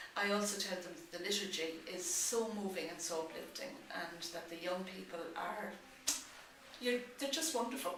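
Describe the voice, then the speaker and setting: Speaking in an Irish accent at a medium pitch, a woman talks at a moderate pace with ordinary pitch variation, with audible room echo and noticeable background noise. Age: 60s. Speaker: pilgrim. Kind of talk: interview. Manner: halting.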